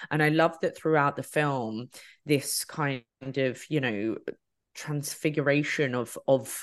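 Against a quiet background, a woman speaks fairly slowly in a very deep, low pitch with fairly even intonation. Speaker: podcaster. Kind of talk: casual chat.

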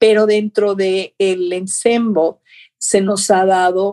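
At a very slow pace, a woman of medium pitch speaks with a dark, mellow tone and fairly even intonation. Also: dry, close sound with no echo. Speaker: ballet teacher and choreographer. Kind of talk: interview.

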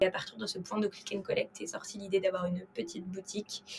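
The woman's pitch is medium. She speaks at a very fast pace. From France (Paris). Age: 20s. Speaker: wine startup co-founder. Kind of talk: interview conversation. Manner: hesitant with repetitions.

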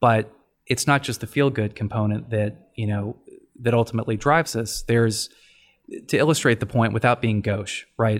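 A man with an American accent and an ordinary speaking voice talks at a moderate pace, medium pitch, and fairly even intonation in a very clean recording with a silent background. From Texas, Dallas. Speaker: family law attorney, former broadcast journalist. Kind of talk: interview podcast.

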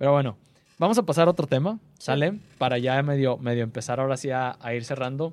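Talking at a fairly quick pace, a man with a Mexican accent shows ordinary pitch variation. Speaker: podcast host. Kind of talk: casual interview.

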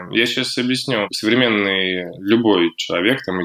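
Ordinary pitch variation and a moderate pace in a man's unremarkable speaking voice. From Russia, Sosnovy Bor. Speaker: founder of a fashion and art project. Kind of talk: interview.

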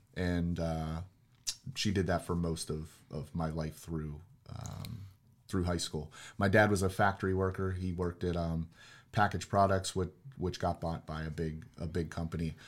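On a very clean recording with a silent background, a man with a very deep, low voice and an American accent speaks at a moderate pace with fairly even intonation. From Pittsburgh, Pennsylvania. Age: 40s. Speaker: real estate investor. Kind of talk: casual chat.

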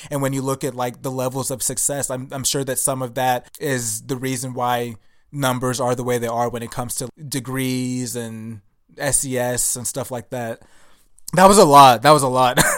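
With an American accent, a man in an unremarkable speaking voice talks at a medium pitch and moderate pace, his intonation fairly even. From US, Nigerian immigrant parents. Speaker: podcast host. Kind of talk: casual chat.

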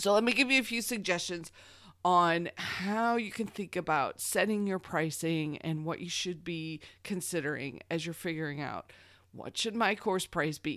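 Very clean and with a silent background, this recording has a woman in an unremarkable speaking voice. She talks at a moderate pace in a fairly low pitch with ordinary pitch variation. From Missouri. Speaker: podcast host, online course coach. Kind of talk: solo podcast tutorial.

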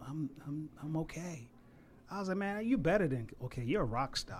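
This man has a plain, everyday voice and an American accent, pitched fairly high. He talks at a moderate pace with lively intonation. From Savannah, Georgia (US South). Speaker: barber and florist. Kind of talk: casual interview. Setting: studio.

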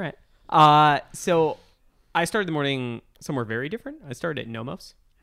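A man's bright, sharp voice, fairly high in pitch, with long, frequent pauses over a very clean recording and silent background. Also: ordinary pitch variation, fairly quick pace. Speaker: podcast host, watch writer. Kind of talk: casual chat. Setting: watch trade show, recorded after a show day.

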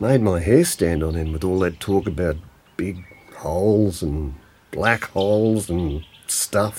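Putting on a character voice, a man talks at a slow pace in a low pitch, the tone slightly mellow with a slightly husky edge. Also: ordinary pitch variation.

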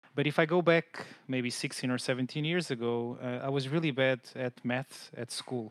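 In a Portuguese accent, a man speaks at a moderate pace and medium pitch with fairly even intonation, hardly any pauses, and a dry, close sound with no echo. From Portugal, Lisbon. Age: 30s. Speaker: customer support manager. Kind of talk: interview.

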